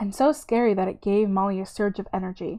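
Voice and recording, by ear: Reading aloud in a natural voice, with intonation that is fairly level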